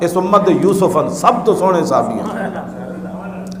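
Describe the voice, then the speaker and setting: A man speaks in a passionate tone. Noticeable background noise is present. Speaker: Islamic preacher. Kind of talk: religious sermon (bayan) in Urdu and Punjabi, delivered to a live audience. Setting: live gathering, audience responds aloud. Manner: passionate, oratorical, with call-and-response from listeners.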